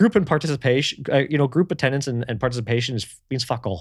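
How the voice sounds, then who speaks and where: On a very clean recording, a man's voice is heard against a silent background. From North America. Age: 30s. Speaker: podcast co-host, building automation technician. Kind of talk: casual chat. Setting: live stream.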